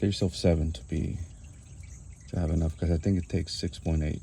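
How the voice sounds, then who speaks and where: A soft-spoken man with a very deep, low pitch, a dark, mellow tone, a somewhat breathy quality and a fairly quick pace. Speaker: DIY car mechanic. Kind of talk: tutorial. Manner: casual.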